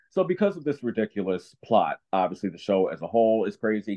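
Someone speaks at a fairly quick pace in a normal speaking voice with an American accent. The pitch varies in an ordinary way. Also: man. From New Jersey. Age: 30s. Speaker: actor and dancer. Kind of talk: casual interview.

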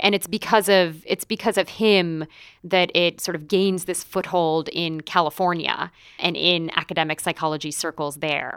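Speaking with an American accent in a plain, everyday voice, a woman talks at a moderate pace with fairly low pitch and fairly even intonation, recorded very cleanly against a silent background with a dry, close sound and no echo. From United States. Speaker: English professor and author. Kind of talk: interview conversation.

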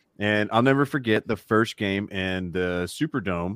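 A man's fairly low voice with an American accent, moderate pace and ordinary pitch variation, dry and close with no echo on a very clean recording with a silent background. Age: 40. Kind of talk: casual chat.

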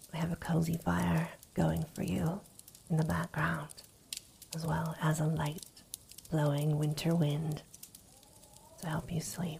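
A woman's very deep, low voice, gentle and soothing in tone, at a fairly slow pace with long, frequent pauses, over noticeable background noise. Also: fairly even intonation. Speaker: ASMR story reader. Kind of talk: ASMR bedtime story reading. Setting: ambient fireplace and winter wind background. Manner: soft-spoken, slow, soothing, intimate; gentle, hushed, lulling tone.

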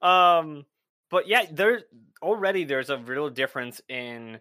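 A man with an ordinary speaking voice talks at a fairly slow pace. His intonation is lively. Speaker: Twitch streamer and podcaster. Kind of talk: casual chat.

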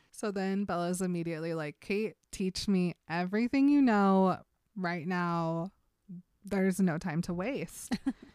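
A woman talks in a plain, everyday voice at medium pitch, with ordinary pitch variation and a fairly slow pace. The recording is very clean with a silent background and a dry, close sound with no echo. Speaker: podcast co-host. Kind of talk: casual chat.

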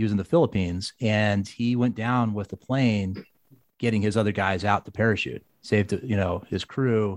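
Against a quiet background, a man with a plain, everyday voice speaks at a fairly low pitch and moderate pace, with ordinary pitch variation and a dry, close sound with no echo. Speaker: podcast host. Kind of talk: interview.

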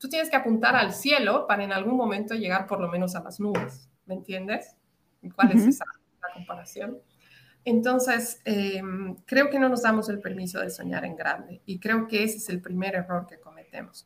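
With an ordinary speaking voice, a woman at a medium pitch talks at a moderate pace with ordinary pitch variation and big swings in loudness. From Latin America. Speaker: psychologist and women's mentor. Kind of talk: interview.

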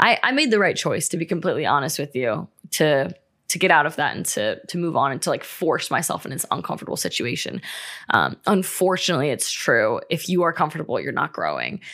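Speaking fairly quickly, a woman comes through on a very clean recording where the background is silent. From Ohio. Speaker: podcast host. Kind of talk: casual monologue.

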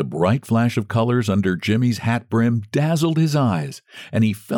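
This is a natural reading voice. It is a natural reading voice throughout.

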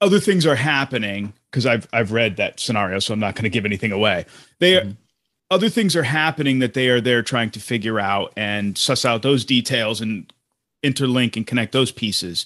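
In an ordinary speaking voice, a man at a medium pitch talks with lively intonation. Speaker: podcast host. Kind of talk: casual chat. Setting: video call.

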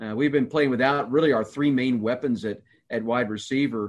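A man with a medium pitch speaks in a normal speaking voice at a fairly quick pace. His intonation is fairly even, and the background is quiet. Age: 50s. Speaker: college football play-by-play announcer. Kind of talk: casual chat.

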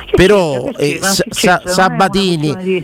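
A man speaks in a Roman accent with lively intonation. Noticeable background noise sits behind him. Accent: Roman Italian. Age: 40s. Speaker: sports radio host. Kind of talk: casual chat, football talk show. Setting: radio studio. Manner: animated, passionate.

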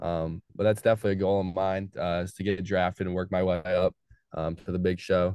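A man with an American accent talks at a fairly quick pace in a very deep, low pitch and monotone, flat intonation, the sound dry and close with no echo against a quiet background. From Fort Wayne, Indiana (US Midwest). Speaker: college baseball pitcher. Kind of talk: casual interview.

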